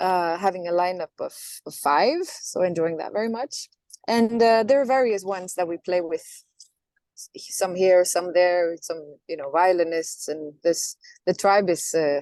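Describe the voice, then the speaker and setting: A woman with a Norwegian accent talks at a moderate pace and medium pitch, with ordinary pitch variation and big swings in loudness. The sound is dry and close, with no echo. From Norway. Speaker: singer. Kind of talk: interview. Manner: halting.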